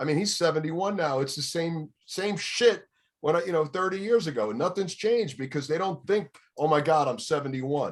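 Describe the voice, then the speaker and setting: A man with a New York accent talks at a fairly quick pace, his fairly high pitch moving with ordinary variation. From New York City, Bronx. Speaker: radio DJ. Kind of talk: casual chat.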